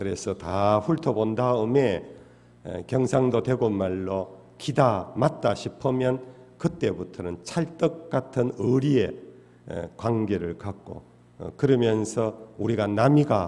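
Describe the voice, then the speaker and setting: A man's medium-pitched voice with a dark, mellow tone, lively intonation and a very slow pace. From Daegu, South Korea (Gyeongsang). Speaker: pastor. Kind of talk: sermon. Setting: church. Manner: frequent filler hesitations.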